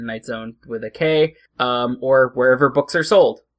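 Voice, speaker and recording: This man's tone is bright and sharp, with fairly even intonation and a fairly slow pace. The sound is dry and close, with no echo. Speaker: podcast host. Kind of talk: casual comedy chat.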